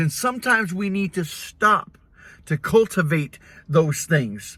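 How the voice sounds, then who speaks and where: Raised and projected, a man's high-pitched voice has a bright, sharp tone and moves at a fairly slow pace. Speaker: pastor. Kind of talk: casual talk to camera, mini sermon. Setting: recorded in a vehicle. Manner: earnest, encouraging.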